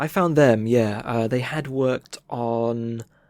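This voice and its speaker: With usual rises and falls in pitch, a man speaks in a mid-range voice. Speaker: illustrator and game developer. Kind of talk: interview answer. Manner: casual, hesitant, many fillers.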